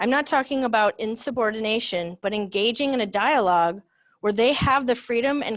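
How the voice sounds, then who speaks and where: A woman with a fairly high pitch talks in an animated tone at a fairly quick pace. Her pitch varies in an ordinary way over a quiet background. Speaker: business leader, speaker. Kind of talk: talk presentation. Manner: loud; direct, animated.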